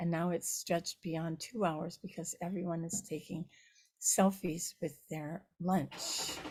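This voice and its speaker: A woman with a fairly low pitch talks at a moderate pace in a somewhat breathy voice. Her intonation is monotone and flat. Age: 70s. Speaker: Buddhist nun and teacher. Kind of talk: dharma talk. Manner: halting, with frequent fillers.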